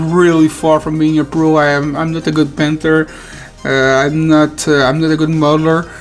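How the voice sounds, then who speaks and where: With music in the background, the speaker uses fairly even intonation in a French Canadian accent. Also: man. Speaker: hobby channel founder and video editor. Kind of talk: casual personal introduction. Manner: halting, many fillers and restarts.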